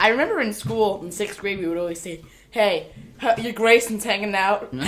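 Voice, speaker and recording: A woman with an American accent speaks at a medium pitch and a fairly quick pace, her loudness swinging widely over noticeable background noise. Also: ordinary pitch variation. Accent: sometimes sounds Boston. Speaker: gaming channel co-host. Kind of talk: casual chat.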